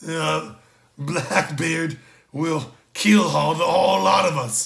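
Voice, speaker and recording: Using a put-on character voice, a man talks at a very slow pace with a fairly high pitch. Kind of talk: pirate talk.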